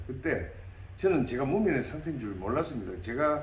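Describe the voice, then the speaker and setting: Man speaking at a moderate pace with very wide pitch swings, amid noticeable background noise and audible room echo. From South Korea, Namhae, South Gyeongsang. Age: 60s. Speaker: parliamentary candidate, dentist. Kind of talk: interview.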